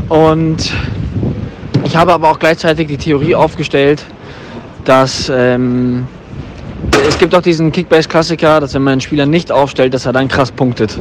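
Amid noticeable background noise, a man talks at a moderate pace and a fairly high pitch with fairly even intonation, taking long, frequent pauses. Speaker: podcast co-host. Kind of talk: voice message. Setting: phone recording.

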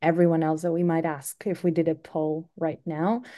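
A woman with a Greek accent against a quiet background. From Greece. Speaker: SEO marketing executive. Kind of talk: interview.

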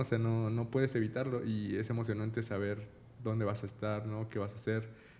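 Here a man talks at a fairly quick pace. He has a Mexican accent. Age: 30s. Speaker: podcast co-host. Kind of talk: casual chat.

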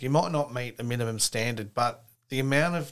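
Recorded very cleanly with a silent background, a man talks at a moderate pace in a medium pitch. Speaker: podcast host. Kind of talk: casual interview chat.

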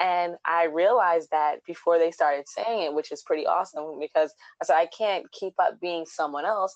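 A woman with a normal speaking voice talks at a moderate pace, fairly low in pitch and fairly even in intonation. The sound is dry and close with no echo, over a quiet background. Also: hardly any pauses. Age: 30s. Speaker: DIY blogger. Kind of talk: casual chat.

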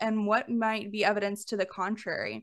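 Against a quiet background, someone with an American accent talks at a fairly slow pace in a normal speaking voice. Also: woman. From Alabama, US South. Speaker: podcast host, money coach. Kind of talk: casual interview chat.

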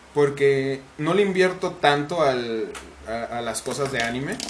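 A fairly high-pitched man with a Mexican accent, over noticeable background noise. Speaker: podcast host and content creator. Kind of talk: casual chat.

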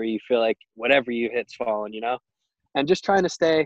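A man talks at a fairly quick pace and medium pitch in an unremarkable speaking voice. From Long Island, New York. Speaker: minor league baseball player. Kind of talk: casual interview.

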